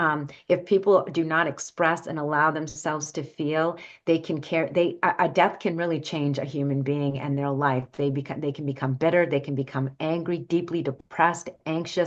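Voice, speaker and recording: The background is quiet. The intonation stays fairly even. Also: woman, very deep, low pitch for a woman. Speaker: grief therapist and workshop speaker. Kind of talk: online workshop presentation. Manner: fast; hesitant, many fillers and restarts.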